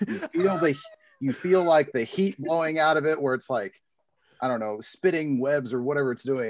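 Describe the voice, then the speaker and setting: Here is a man with a plain, everyday voice, a fairly high pitch and lively intonation. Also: moderate pace. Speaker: podcast co-host. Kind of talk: casual interview chat. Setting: video call.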